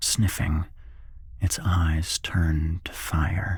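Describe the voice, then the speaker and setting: Very slowly, a man speaks at a very deep, low pitch, somewhat breathy, with ordinary pitch variation. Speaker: narrator. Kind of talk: horror story reading. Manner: whispered.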